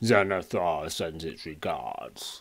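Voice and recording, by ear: A man performs a put-on character voice, pitched very deep and low. The recording is very clean, with a silent background.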